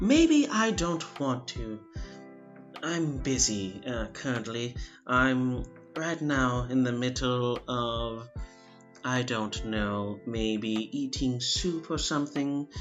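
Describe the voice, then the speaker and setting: A man in a put-on character voice speaks with a pompous tone, nasal and at a medium pitch, at a very slow pace over clear music in the background. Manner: pompous, dismissive.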